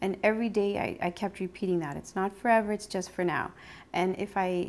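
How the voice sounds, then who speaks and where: A woman uses a normal speaking voice at medium pitch with ordinary pitch variation. The recording is very clean, with a silent background. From Sudbury, Ontario, Canada. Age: 40s. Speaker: cancer survivor. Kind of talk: interview testimony.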